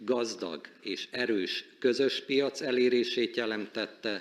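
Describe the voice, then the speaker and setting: At a fairly slow pace, a man talks in a Hungarian accent. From Hungary. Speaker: supreme court president. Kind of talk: formal speech. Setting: conference stage with audience. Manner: formal.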